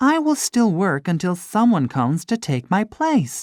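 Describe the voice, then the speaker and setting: This put-on character voice sits at a middle pitch with very wide pitch swings and a moderate pace. The recording is very clean, with a silent background. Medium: read story. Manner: soft, polite.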